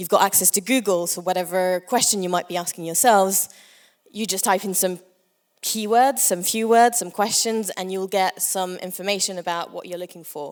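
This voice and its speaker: Medium in pitch, a woman's voice has fairly even intonation but big swings in loudness. The recording is very clean, with a silent background. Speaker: conference speaker for a language nonprofit. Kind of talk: conference talk. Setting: stage with audience. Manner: fast.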